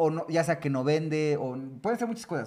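A man with an ordinary speaking voice talks fairly quickly, his pitch fairly high and his intonation lively. The recording is very clean, with a silent background. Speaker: podcast host. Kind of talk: casual chat.

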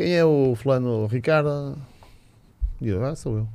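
A man of medium pitch with ordinary pitch variation and a dark, mellow tone. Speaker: handball coach. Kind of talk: casual chat.

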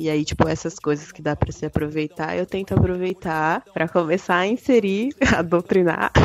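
A woman with a fairly low voice speaks at a moderate pace with hardly any pauses and ordinary pitch variation. Her loudness swings widely over noticeable background noise. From interior of São Paulo state. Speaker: hip hop news writer. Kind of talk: casual chat.

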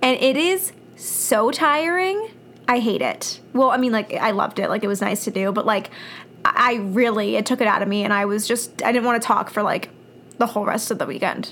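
Talking at a fairly quick pace, a woman uses an ordinary speaking voice that is fairly high, with lively intonation. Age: 20s. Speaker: podcast co-host. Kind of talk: casual chat.

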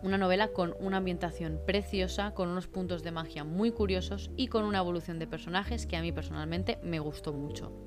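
Noticeable background noise sits behind a woman talking fairly quickly, with hardly any pauses. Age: 30s. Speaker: book podcaster. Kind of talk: solo book review monologue. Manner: talkative, continuous.

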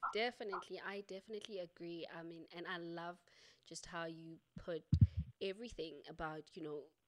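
In an ordinary speaking voice, a woman talks fairly quickly at a fairly low pitch with fairly even intonation. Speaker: podcast host. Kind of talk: casual interview conversation. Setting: virtual recording, video call.

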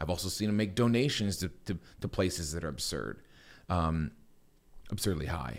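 Over a very clean, silent background, a man with a Midwestern American accent talks at a moderate pace in a very deep, low pitch, with vocal fry, lively intonation and long, frequent pauses. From US Midwest, Akron, Ohio area. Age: 40s. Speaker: investing YouTuber and photographer. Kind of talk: podcast interview.

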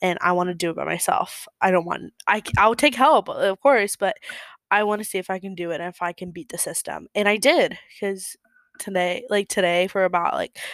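On a very clean, dry and close recording with a silent background and no echo, a woman of medium pitch uses a normal speaking voice at a moderate pace. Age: 20s. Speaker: podcaster, college student. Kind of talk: casual monologue. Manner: chatty, with laughs and fillers.

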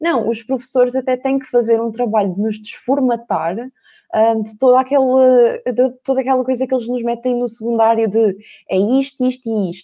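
A woman speaks at a moderate pace with high pitch and a dark, mellow tone. Her intonation is fairly even, and the background is quiet. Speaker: university student. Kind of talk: casual chat. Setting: live stream.

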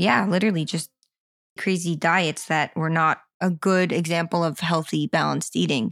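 At a moderate pace and with fairly even intonation, the voice comes through in a very clean recording with a silent background and a dry, close sound with no echo. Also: woman. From Florida, US. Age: 20s. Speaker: recovery story guest, floral designer. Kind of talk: personal testimony interview.

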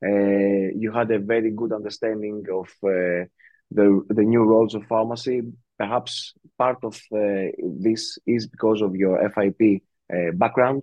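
A man speaks very slowly with a Greek accent. His fairly low voice stays monotone and flat. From Greece. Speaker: podcast host. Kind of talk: casual chat.

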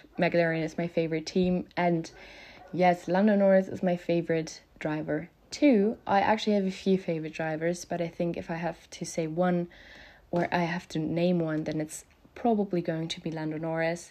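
With a German accent, a woman talks at a moderate pace in a fairly low, dark and mellow voice with monotone, flat intonation against a quiet background. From Germany. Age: 20s. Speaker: podcast host, motorsport fan. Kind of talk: solo casual monologue. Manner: halting, many filler ums.

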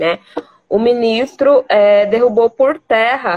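A woman's voice at a very slow pace. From Mato Grosso, Brazil. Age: 20s. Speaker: lawyer. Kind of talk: interview.

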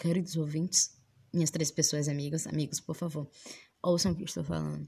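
Against a quiet background, a woman's somewhat breathy voice has a dark, mellow tone and a very deep, low pitch. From Salvador, Bahia, Brazil. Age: 20s. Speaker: podcast host. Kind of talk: casual monologue. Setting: recording inside a wardrobe.

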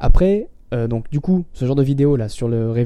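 Ordinary pitch variation marks a man's medium-pitched voice, dark and mellow in tone. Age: 20s. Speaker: podcast host and online entrepreneur. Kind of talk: casual solo tutorial. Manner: hesitant with many fillers.

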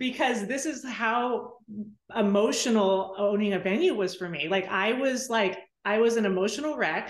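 A woman speaks at a moderate pace with an American accent, her fairly high pitch moving with ordinary variation, and audible room echo around her. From Southern California. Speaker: photographer and wedding venue owner. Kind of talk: interview.

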